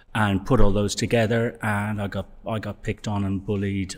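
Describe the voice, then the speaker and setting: Recorded very cleanly over a silent background, a man with a Dublin accent speaks in a monotone, flat intonation. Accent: Irish (Dublin). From Dublin, Ireland. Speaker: gym member. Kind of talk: interview, life story.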